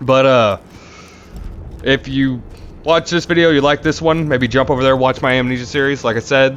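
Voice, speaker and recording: A man with a medium-pitched voice and very even loudness speaks with long, frequent pauses against noticeable background noise. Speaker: gaming YouTuber. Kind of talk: let's play commentary. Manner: fast.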